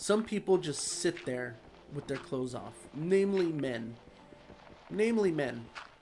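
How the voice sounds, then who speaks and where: A man talks at a fairly high pitch and a fairly slow pace, with very wide pitch swings and long, frequent pauses. Noticeable background noise sits behind him. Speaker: gaming YouTuber. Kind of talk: casual gameplay commentary. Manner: animated.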